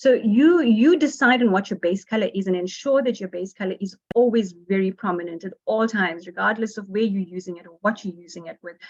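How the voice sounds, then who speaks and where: At a fairly quick pace with hardly any pauses, a woman speaks at a medium pitch with ordinary pitch variation and big swings in loudness. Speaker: workshop presenter on design. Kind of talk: online workshop lecture. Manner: fast.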